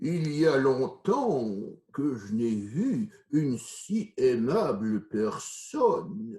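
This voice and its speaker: A man's put-on character voice, fairly high in pitch, with very wide pitch swings and a very slow pace. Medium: read story. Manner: speaking softly, in a low whisper.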